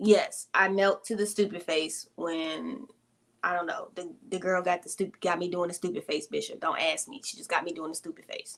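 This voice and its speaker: A woman's plain, everyday voice in an American accent, medium in pitch, with ordinary pitch variation and a moderate pace. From Arizona, US. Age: 30s. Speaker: YouTuber answering viewer questions. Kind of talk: casual live Q&A chat.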